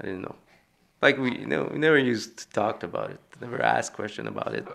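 A man with a Quebec accent talks at a fairly quick pace. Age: 50s. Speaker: son of bombing victim. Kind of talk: interview. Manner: halting.

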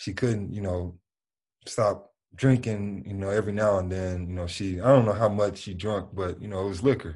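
A man with a Memphis accent and a fairly low voice talks at a moderate pace with fairly even intonation and big swings in loudness, set against a quiet background. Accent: Southern US (Memphis). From US South, Memphis. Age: 20s. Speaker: basketball player. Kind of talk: interview.

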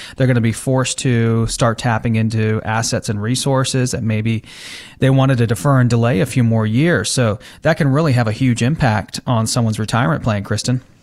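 The man has an unremarkable speaking voice at a medium pitch. He talks at a fairly quick pace with fairly even intonation and very even loudness. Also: very clean recording, silent background. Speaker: financial advisor, radio host. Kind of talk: explanatory financial talk. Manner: explanatory, conversational.

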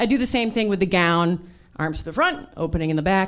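With a normal speaking voice, a woman talks using lively intonation. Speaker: abortion doula and comedian. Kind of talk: personal story told on stage. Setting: stage with audience.

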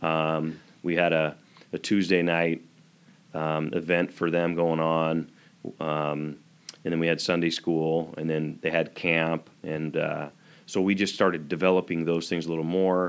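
Delivered at a fairly slow pace, the speech has a monotone, flat intonation and an American accent. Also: man, very deep, low pitch for a man. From eastern Washington, US. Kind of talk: interview.

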